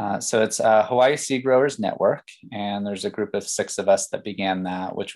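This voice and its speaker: An ordinary speaking voice from a man with an American accent, fairly low pitch and fairly even intonation. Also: quiet background. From Pennsylvania. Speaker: farmer and educator. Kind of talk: interview conversation.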